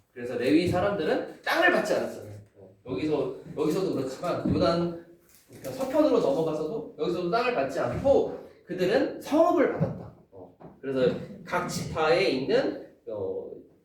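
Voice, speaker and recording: A man talks at a moderate pace, his loudness swinging widely, with noticeable background noise and audible room echo. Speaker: Bible study teacher. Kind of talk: lecture.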